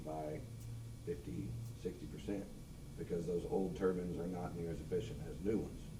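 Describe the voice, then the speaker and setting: In an American accent, the speaker goes at a fairly quick pace with lively intonation, and audible room echo is present. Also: man. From Missouri, Lafayette County. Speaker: public commenter at meeting. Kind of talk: public comment. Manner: loud.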